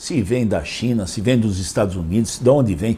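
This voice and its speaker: Vocal fry and a dark, mellow tone at a moderate pace. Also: man. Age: 70s. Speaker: mayoral candidate. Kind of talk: interview. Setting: interview.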